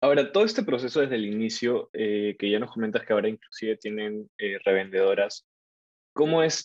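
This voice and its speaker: This man has an unremarkable speaking voice at a medium pitch, with ordinary pitch variation and a fairly quick pace. The sound is dry and close, with no echo. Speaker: student podcast host. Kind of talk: interview.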